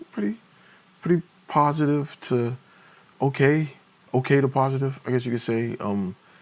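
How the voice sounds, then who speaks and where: At a moderate pace and with an American accent, a man speaks through noticeable background noise. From Maryland/DC/Virginia area, US. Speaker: indie publisher and livestreamer. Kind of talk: casual livestream chat. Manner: hesitant, many fillers.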